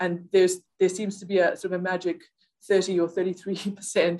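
This woman talks in a South African accent at a medium pitch. Her intonation is monotone and flat. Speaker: software product manager. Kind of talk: interview. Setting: office.

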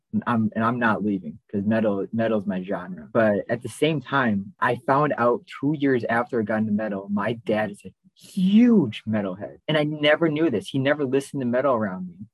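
An unremarkable speaking voice at a fairly quick pace, with lively intonation and hardly any pauses. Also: man, medium pitch for a man. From Wisconsin. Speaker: podcast co-host. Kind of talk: casual chat.

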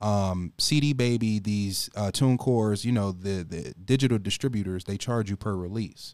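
A man speaks at a moderate pace and fairly low pitch, with ordinary pitch variation. The recording is very clean, with a silent background. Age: 20s. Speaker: rapper. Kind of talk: casual chat. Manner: animated.

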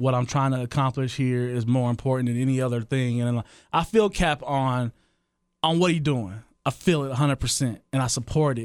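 A man talks at a fairly quick pace in a medium pitch with ordinary pitch variation, a plain, everyday voice. The recording is very clean, with a silent background. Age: 30s. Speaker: podcast co-host, DJ. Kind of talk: casual chat.

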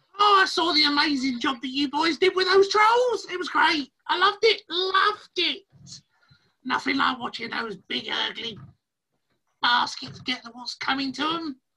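In a put-on character voice, the speaker talks at a moderate pace with a high pitch. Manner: chirpy, chatty, gleeful.

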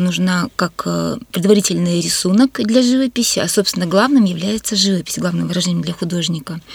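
An ordinary speaking voice at a moderate pace. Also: woman, dry, close sound with no echo. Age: 50s. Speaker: artist and museum educator. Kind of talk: radio interview. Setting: radio studio.

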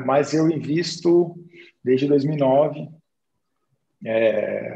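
A man's somewhat breathy, dark, mellow voice, fairly high in pitch with ordinary pitch variation. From Brazil, interior of Minas Gerais. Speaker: investor and day trader. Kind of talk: casual chat.

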